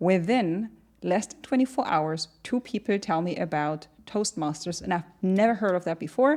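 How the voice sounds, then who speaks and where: A woman with a German accent speaks at a medium pitch and a moderate pace. Her intonation is lively, and the recording is very clean with a silent background. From Germany. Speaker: entrepreneur. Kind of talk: podcast interview. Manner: animated.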